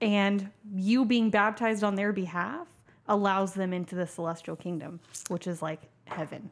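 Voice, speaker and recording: Using a normal speaking voice, a woman with an American accent speaks at a medium pitch and moderate pace with ordinary pitch variation. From Tulsa, Oklahoma. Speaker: guest sharing her life story. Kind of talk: casual interview chat.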